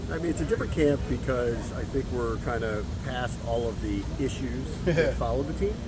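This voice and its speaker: At a moderate pace, a man with an American accent talks over noticeable background noise. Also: hardly any pauses. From Washington DC area. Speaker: radio play-by-play broadcaster. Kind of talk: interview answer.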